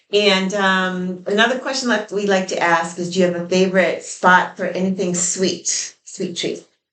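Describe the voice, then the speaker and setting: A woman with an unremarkable speaking voice talks at a moderate pace and medium pitch, with fairly even intonation and hardly any pauses. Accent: American. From New York. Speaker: interviewer / channel co-host. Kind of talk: casual interview on a porch.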